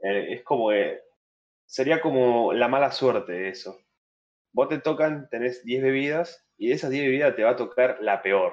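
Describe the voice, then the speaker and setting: A man in a plain, everyday voice talks at medium pitch and a moderate pace with ordinary pitch variation. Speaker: podcast guest, wrestling fan. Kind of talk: casual chat. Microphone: new microphone.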